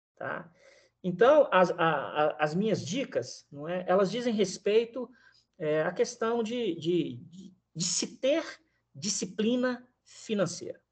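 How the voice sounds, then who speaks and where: At a very slow pace, a man with a high pitch speaks with lively intonation and big swings in loudness. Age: 50s. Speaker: economist and teacher. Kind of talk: interview. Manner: halting, many repeated words.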